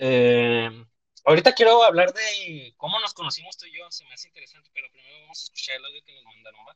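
A man speaks at a very fast pace, his loudness swinging widely. The sound is dry and close, with no echo. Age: 20s. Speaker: podcast host. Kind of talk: casual chat. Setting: live online stream.

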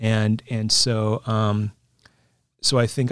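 A man with an American accent speaks at a medium pitch. The recording is very clean, with a silent background. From Northern California (Concord, Walnut Creek area). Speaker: pastor. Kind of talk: interview conversation. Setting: studio.

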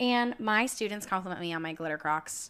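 A woman with an American accent speaks at a moderate pace. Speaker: podcast host. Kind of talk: casual chat. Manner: animated.

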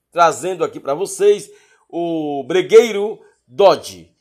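Speaking at a fairly slow pace, a man with an animated tone and ordinary pitch variation comes through on a very clean recording with a silent background. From Bahia, Brazil (Paulo Afonso). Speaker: podcast host. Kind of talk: music show presenting.

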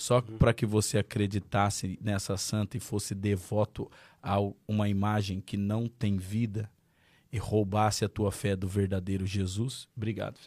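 On a very clean recording with a silent background and a dry, close sound with no echo, a man with a fairly low pitch talks at a fairly slow pace in a monotone, flat intonation. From Marília, interior of São Paulo, Brazil. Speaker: pastor. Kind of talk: testimony.

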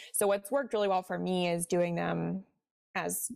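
A woman with a Midwestern accent speaks at a moderate pace. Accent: general Midwestern American. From US Midwest, Cincinnati, Ohio. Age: 20s. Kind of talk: casual interview chat.

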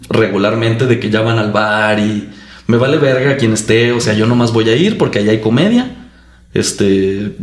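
A man speaks at a moderate pace and medium pitch, his loudness very even and his intonation fairly even, with audible room echo and noticeable background noise. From Chihuahua, Mexico. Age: 30s. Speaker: engineer and comedian. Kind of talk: casual chat.

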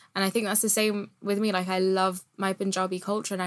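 Very fast, monotone, flat speech from a woman with a British accent. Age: 20s. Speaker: poet and geography student. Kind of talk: casual chat.

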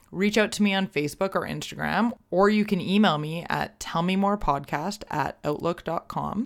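Hardly pausing at all, a woman speaks at a moderate pace with a medium pitch, ordinary pitch variation and vocal fry. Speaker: podcast host. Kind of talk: casual interview chat. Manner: chatty, rambling.

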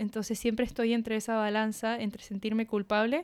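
The background is silent on this very clean recording of a woman speaking. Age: 20s. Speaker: illustrator and podcast co-host. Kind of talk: casual chat. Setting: dining table at home.

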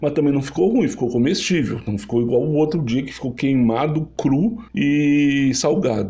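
A man's fairly high-pitched voice amid noticeable background noise and audible room echo. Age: 30s. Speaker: podcast host, culinary student. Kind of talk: personal storytelling monologue. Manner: halting, with fillers and repetitions.

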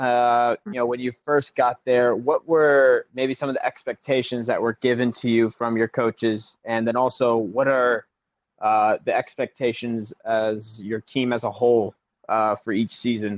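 A man with an American accent and a plain, everyday voice, at a fairly slow pace with fairly even intonation. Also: medium pitch for a man. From US South, South Carolina. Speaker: podcast host. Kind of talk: interview.

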